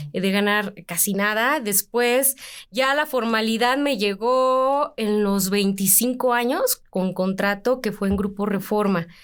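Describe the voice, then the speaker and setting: The speech comes at a very slow pace with very even loudness. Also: woman, fairly high pitch for a woman, ordinary pitch variation. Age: 30s. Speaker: sports journalist, editor. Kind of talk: interview conversation.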